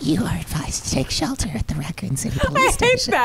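A put-on character voice races along at a very fast pace over loud background noise. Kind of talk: official public-announcement.

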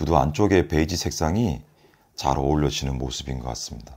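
This man's voice is very deep and low, with vocal fry. His intonation is lively. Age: 40s. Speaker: product reviewer. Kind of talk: product review. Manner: halting, with fillers and repeats. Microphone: phone near.

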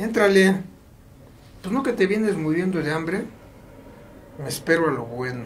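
There is light background noise as a man speaks in a high pitch with very wide swings. He keeps a moderate pace, broken by long, frequent pauses. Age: 70s. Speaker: international rescue worker; guest. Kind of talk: casual interview storytelling; interview answer. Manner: animated, profanity-laced. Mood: casual, joking, swears freely. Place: studio.

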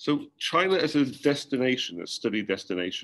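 With a British accent, a man speaks at a moderate pace over light background noise. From UK. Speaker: university academic director. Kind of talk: presentation. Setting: video call. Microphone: webcam.

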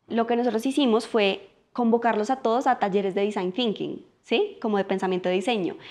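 Over a quiet background, a woman speaks fairly quickly at a fairly high pitch. Her pitch varies in an ordinary way. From Colombia. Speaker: political scientist and life coach; podcast guest, coach. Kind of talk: casual interview conversation. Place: home room.

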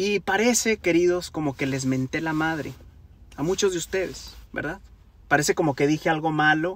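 A man speaks at a moderate pace with ordinary pitch variation, the sound dry with no echo. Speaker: singer vlogger. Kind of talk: casual vlog chat. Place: car. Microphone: phone near.

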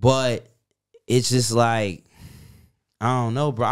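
On a very clean recording with a silent background, a man talks with a New York accent. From New York City. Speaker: soldier. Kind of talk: casual chat.

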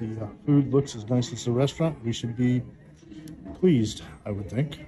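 Amid noticeable background noise, a man speaks at a moderate pace, with big swings in loudness and ordinary pitch variation. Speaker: restaurant reviewer. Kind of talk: casual vlog commentary. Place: cafe. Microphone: phone near.

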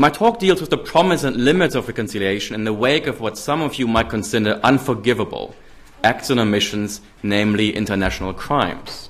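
A man with a German accent talks fairly quickly with lively intonation. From Germany. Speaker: political scientist. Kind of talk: lecture. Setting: stage with audience. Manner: formal. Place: hall. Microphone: podium.

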